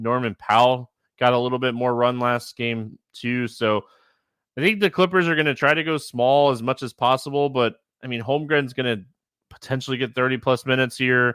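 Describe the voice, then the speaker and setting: The recording is very clean with a silent background and a dry, close sound with no echo. A man speaks at a medium pitch with fairly even intonation. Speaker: fantasy sports podcast host. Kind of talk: solo podcast analysis. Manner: fast.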